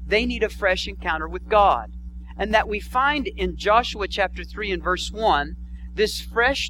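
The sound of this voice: Here the delivery is an unforced reading voice.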